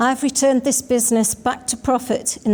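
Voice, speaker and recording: A woman speaks in a Manx accent at a fairly quick pace. Her voice is somewhat breathy, and her intonation is monotone and flat. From Isle of Man. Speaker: election candidate, sitting politician. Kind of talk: prepared campaign statement.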